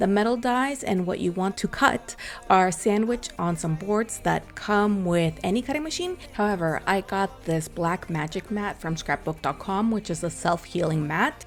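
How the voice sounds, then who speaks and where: With music in the background, a woman talks with lively intonation. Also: medium pitch for a woman, hardly any pauses. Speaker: scrapbooking crafter. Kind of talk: tutorial. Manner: normally fast talker.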